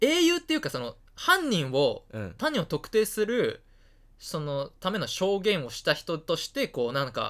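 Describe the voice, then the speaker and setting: Very wide pitch swings from a high-pitched man at a fairly slow pace, on a very clean recording with a silent background. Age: 20s. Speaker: student podcast co-host. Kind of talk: casual chat.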